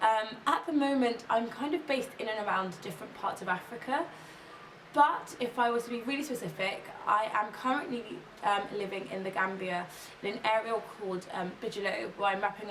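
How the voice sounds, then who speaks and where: Someone with an English accent speaks at a fairly quick pace with ordinary pitch variation, amid noticeable background noise and audible room echo. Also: woman. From England, Kent. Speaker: policy consultant and ethnographic researcher. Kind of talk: interview testimony.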